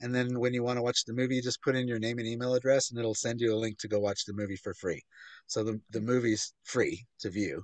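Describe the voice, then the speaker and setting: A man talks at a very fast pace with fairly even intonation. The sound is dry with no echo, and the background is quiet. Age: 50s. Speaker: author and filmmaker; interview guest. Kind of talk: interview. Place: home room. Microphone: video call.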